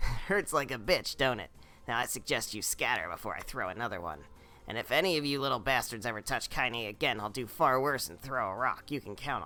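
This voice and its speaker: A man in a put-on character voice at medium pitch, fairly quick pace, very clean recording with a silent background. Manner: gruff, threatening.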